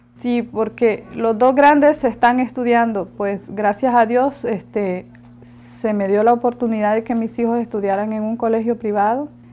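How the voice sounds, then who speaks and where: Speaking in a Honduran accent, a woman uses a fairly high pitch and a dark, mellow tone, keeping a fairly slow pace and fairly even intonation. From Honduras, La Ceiba. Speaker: migrant mother. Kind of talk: interview testimony.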